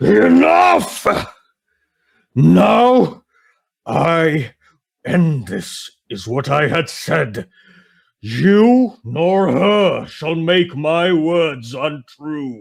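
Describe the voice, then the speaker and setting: A man bellows in a booming, put-on character voice at a fairly high pitch, his pitch swinging very widely. He speaks very slowly, with long, frequent pauses. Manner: roaring.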